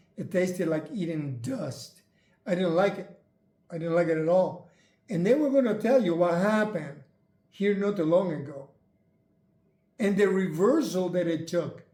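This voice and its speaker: Amid audible room echo, a man with a high pitch and a dark, mellow tone speaks with long, frequent pauses. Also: ordinary pitch variation, moderate pace. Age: 70s. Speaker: retired channel host sharing health journey. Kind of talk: casual chat.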